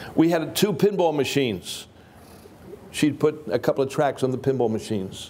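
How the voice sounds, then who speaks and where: A man with a fairly high pitch speaks at a moderate pace. His tone is dark and mellow, and his intonation is lively. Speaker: preacher. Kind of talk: sermon. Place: hall.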